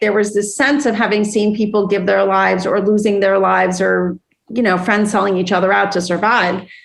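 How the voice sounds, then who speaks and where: A woman talks at a fairly quick pace with a medium pitch. It is a normal speaking voice. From Iran, raised in US (Lafayette). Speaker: business executive. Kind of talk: interview.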